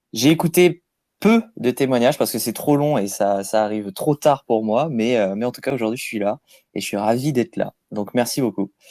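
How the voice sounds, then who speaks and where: A man's medium-pitched, dark, mellow voice at a moderate pace with ordinary pitch variation, dry and close with no echo, in a very clean recording with a silent background. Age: 30s. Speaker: crypto app user interviewed. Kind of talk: casual interview.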